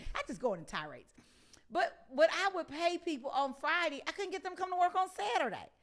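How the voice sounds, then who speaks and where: Loud and very fast, a woman speaks at an extremely high pitch in an animated tone with lively intonation. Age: 50s. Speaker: talk show host. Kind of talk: interview.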